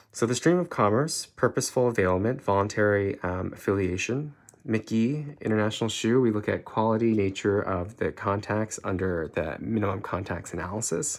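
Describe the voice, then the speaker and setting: A man speaks with a fairly low pitch and ordinary pitch variation. The recording is very clean, with a silent background. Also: hardly any pauses. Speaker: law tutor. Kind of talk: lecture. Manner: fast; halting.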